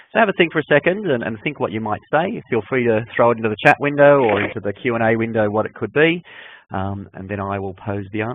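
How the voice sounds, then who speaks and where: Speaking at a very fast pace, a man with an Australian accent has a medium pitch and lively intonation. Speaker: enterprise architecture consultant. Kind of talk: webinar presentation. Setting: online webinar. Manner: hesitant, with frequent fillers and repetitions.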